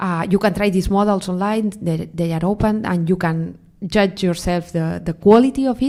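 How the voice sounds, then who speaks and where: In a Spanish accent, a woman talks at a moderate pace with a medium pitch and ordinary pitch variation. Her tone is dark and mellow, and the recording is very clean with a silent background. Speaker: AI researcher. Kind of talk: panel interview. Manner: halting, many fillers.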